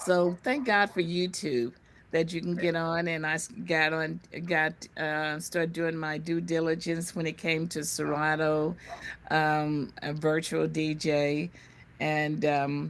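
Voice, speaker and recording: In a very clean recording with a silent background, a woman with an American accent talks at a very slow pace in a very deep, low pitch with fairly even intonation. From US Midwest, Kansas City. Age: 70s. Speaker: DJ and investor. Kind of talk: interview.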